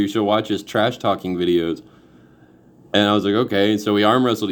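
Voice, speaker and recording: A man talks at a very fast pace with an East Texas accent. His pitch sits fairly low. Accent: East Texas Southern US. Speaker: amateur arm wrestler. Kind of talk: casual chat.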